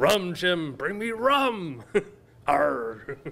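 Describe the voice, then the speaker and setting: A put-on character voice at a middle pitch with very wide pitch swings. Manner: gruff, theatrical.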